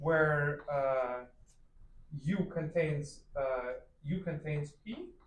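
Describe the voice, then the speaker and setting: Audible room echo surrounds a man speaking at a very slow pace, with long, frequent pauses and fairly even intonation. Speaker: math lecturer. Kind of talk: lecture. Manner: loud.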